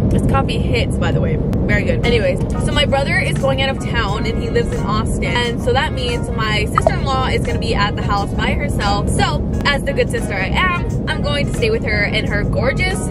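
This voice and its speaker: A woman talks at a fairly quick pace, her voice dry with no echo, with clear music playing in the background. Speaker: vlogger. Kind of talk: casual vlog chat. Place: car. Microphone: phone near.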